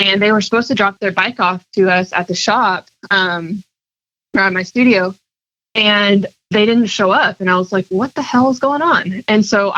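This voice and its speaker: In an ordinary speaking voice, a woman talks at a moderate pace with medium pitch, ordinary pitch variation, very even loudness, and a dry, close sound with no echo. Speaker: pinstriper and artist. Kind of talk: podcast interview, casual chat.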